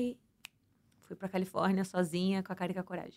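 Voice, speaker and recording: This woman speaks at a very fast pace. Her pitch is medium. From Santos, São Paulo state, Brazil. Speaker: former reality show contestant and flight attendant. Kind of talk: casual interview.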